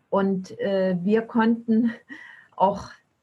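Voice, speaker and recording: This woman's voice sits at a medium pitch and is somewhat breathy. Her pitch variation is ordinary. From eastern Germany. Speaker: long-distance bicycle traveler. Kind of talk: podcast interview.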